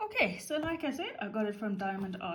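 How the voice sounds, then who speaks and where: A woman with a South African accent speaks at a fairly high pitch in a relaxed, somewhat breathy tone, her pitch swinging very widely amid audible room echo. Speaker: craft YouTuber. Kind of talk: casual craft tutorial and unboxing. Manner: relaxed, chatty with fillers.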